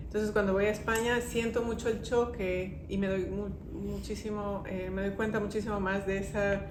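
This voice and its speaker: At a moderate pace and with hardly any pauses, a woman talks through audible room echo and noticeable background noise. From Ecuador, then Spain from age 11. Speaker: immigrant guest sharing life story. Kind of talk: interview conversation. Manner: hesitant, many fillers.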